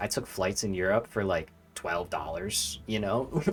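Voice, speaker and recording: A man's American accent, his pitch rising and falling across a very wide range. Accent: strong regional US accent, per college peers. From US. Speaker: video game streamer. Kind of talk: gameplay livestream chat. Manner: casual, filler-heavy.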